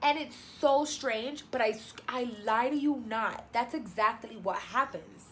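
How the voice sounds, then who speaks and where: Over noticeable background noise, a woman with a Spanish accent speaks at a high pitch in an animated tone with lively intonation. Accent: Spanish-speaking. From New York. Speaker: travel vlogger. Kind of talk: casual vlog monologue.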